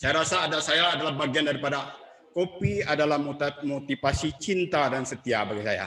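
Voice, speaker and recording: Against crowd noise in the background, a man with a fairly high pitch talks at a fairly quick pace with lively intonation. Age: 60s. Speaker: book discussion speaker. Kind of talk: public talk.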